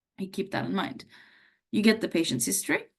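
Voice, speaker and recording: The speaker is a woman. Somewhat breathy tones mark her voice. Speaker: doctor teaching medical students. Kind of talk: lecture. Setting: live webinar. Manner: conversational with fillers.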